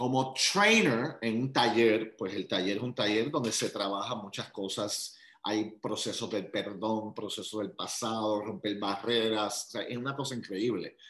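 A man with a normal speaking voice keeps a medium pitch and fairly even intonation, moving fairly slowly with hardly any pauses. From Puerto Rico. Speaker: motivational speaker and life coach. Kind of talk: interview.

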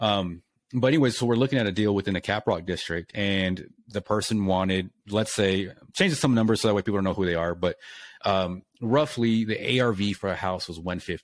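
In a normal speaking voice with an American accent, a man speaks fairly quickly at a fairly low pitch with ordinary pitch variation, on a very clean recording with a silent background. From Lubbock, Texas. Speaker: realtor and lender. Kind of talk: casual chat.

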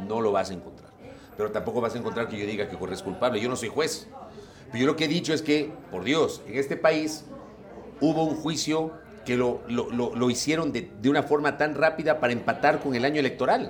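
Noticeable background noise sits under a man speaking at a fairly quick pace with a fairly high pitch and lively intonation. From Ecuador (Ambato, later Guayaquil). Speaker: journalist and broadcaster. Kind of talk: interview.

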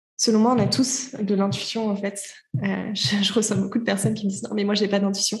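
The voice is somewhat breathy, with fairly even intonation. Audible room echo surrounds it. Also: woman. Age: 20s. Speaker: entrepreneur and podcaster. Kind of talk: interview. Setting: remote call.

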